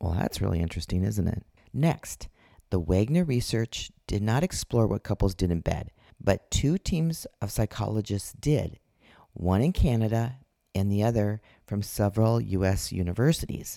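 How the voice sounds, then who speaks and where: A woman's very deep, low voice with a dark, mellow tone and lively intonation at a moderate pace, in a very clean, dry, close recording with no echo and a silent background. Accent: Upper Midwest. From Minnesota. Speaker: podcast host, intimacy coach. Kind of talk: solo podcast monologue. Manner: casual, laughs often.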